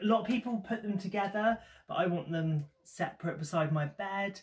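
High-pitched male voice with ordinary pitch variation over light background noise. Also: moderate pace. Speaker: haul vlogger. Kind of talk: casual vlog chat. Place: home room. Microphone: phone near.

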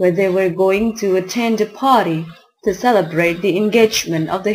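At a moderate pace, a woman talks in a plain, everyday voice, her medium pitch showing ordinary pitch variation. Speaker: amateur narrator. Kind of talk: short story narration for listening practice.

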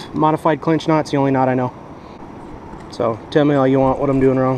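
Faint background noise sits behind a man speaking at a medium pitch and moderate pace. His slightly mellow tone shows little pitch movement.

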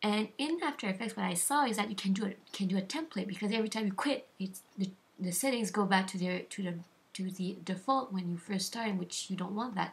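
A woman speaks at a fairly quick pace in a somewhat breathy voice of medium pitch. Her pitch varies in an ordinary way. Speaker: video editing tutorial maker. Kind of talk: software tutorial voice-over. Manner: halting, lagging.

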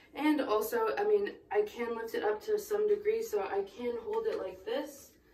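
A woman at a fairly slow pace with very wide pitch swings, amid audible room echo and light background noise. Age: 20s. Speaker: nurse. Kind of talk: casual how-to talk to camera. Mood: warm, encouraging. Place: bathroom.

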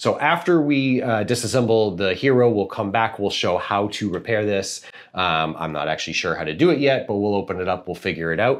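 An unremarkable speaking voice belongs to a man with a fairly low pitch. He talks at a fairly quick pace with lively intonation. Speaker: parent reviewer. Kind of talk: tutorial. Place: home room. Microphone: lapel.

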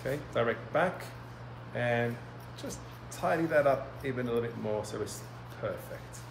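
With noticeable background noise, a man with an Australian accent talks at a moderate pace, leaving long, frequent pauses. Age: 30s. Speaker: hairdresser and educator; educator. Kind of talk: live tutorial. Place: studio.

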